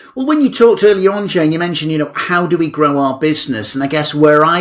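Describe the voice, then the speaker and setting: Lively intonation runs through the speech. It is delivered with an English accent. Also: man. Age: 60s. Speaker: motivational speaker. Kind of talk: podcast interview. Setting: podcast.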